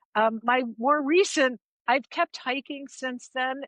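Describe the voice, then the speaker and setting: A woman in an American accent speaks at a fairly slow pace. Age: 60s. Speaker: long-distance hiker. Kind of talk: casual interview chat. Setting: remote call.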